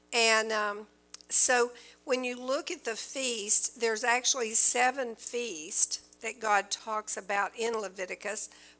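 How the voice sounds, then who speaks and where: A woman speaking very slowly with ordinary pitch variation, music in the background. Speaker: church teacher. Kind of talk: sermon. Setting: church.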